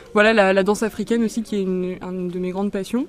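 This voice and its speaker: Music plays in the background as a woman talks with fairly even intonation. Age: 20s. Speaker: dance teacher. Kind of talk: interview. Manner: halting.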